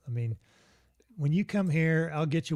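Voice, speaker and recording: Lively in intonation, a man talks in a dark, mellow tone. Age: 60s. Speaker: engineer and outdoor gear company founder, author. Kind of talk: casual interview chat. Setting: live podcast.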